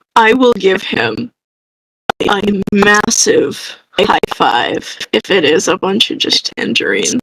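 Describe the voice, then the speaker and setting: A woman puts on a raspy character voice at a medium pitch. She keeps her loudness very even and her pace fairly slow. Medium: actual play. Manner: weary, low-key.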